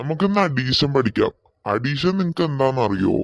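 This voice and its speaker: This man uses a cartoonish character voice with a fairly high pitch. He speaks at a moderate pace with lively intonation. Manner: authoritative, questioning.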